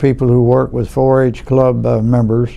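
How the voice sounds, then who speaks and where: Noticeable background noise sits behind a man with a Louisiana accent. He speaks at a moderate pace and medium pitch. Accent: Southern US (Louisiana). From US South, Louisiana (Franklinton). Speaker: oral history interviewee, lawyer. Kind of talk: oral history interview. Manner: halting, many fillers.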